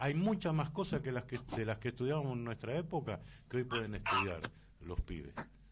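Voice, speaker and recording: A man speaks at a medium pitch and moderate pace, with vocal fry. His pitch swings very widely. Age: 60s. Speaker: radio host. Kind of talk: radio interview.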